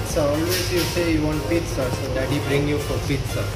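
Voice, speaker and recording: A man speaking at a fairly slow pace over loud background music. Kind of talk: casual vlog chat. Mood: playful, warm. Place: cafe.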